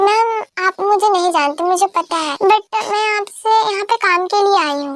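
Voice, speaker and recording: A woman performs a put-on character voice at an extremely high pitch. Her pace is moderate, and her pitch variation is ordinary. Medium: fan dub. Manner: polite, respectful.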